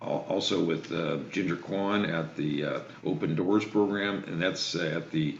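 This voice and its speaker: Intonation stays fairly even at a fairly slow pace. Noticeable background noise and audible room echo accompany the voice. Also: man, very deep, low pitch for a man. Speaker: state legislator. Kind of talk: remarks to a video meeting. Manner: hesitant, many fillers.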